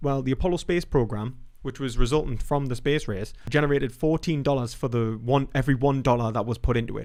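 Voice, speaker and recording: This voice carries a British accent. It moves along fairly quickly. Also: man. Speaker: philosophy YouTuber. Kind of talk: live stream commentary. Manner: fast; casual, halting with fillers.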